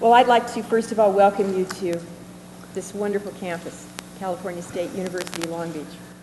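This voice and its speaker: Noticeable background noise sits behind a fairly even voice with an American accent. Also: woman, medium pitch for a woman, fairly quick pace, big swings in loudness. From New Jersey (Port Monmouth). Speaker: university interviewer. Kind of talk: interview.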